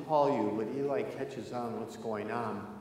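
The pace is fairly slow. Light background noise and audible room echo are present. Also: man. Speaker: pastor. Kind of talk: sermon. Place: church.

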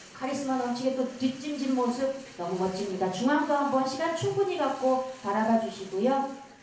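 A woman's high-pitched voice at a moderate pace, with ordinary pitch variation, hardly any pauses and noticeable background noise. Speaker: event host. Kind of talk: press event emceeing. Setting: stage with audience.

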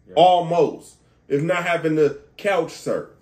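A man talks with an animated tone. His pitch is high. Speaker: podcast host. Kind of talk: casual chat. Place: home room. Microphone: camera far.

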